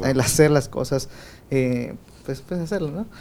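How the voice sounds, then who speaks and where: A man talks at a fairly high pitch in a dark, mellow tone, with ordinary pitch variation. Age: 20s. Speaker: podcast host. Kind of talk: casual chat.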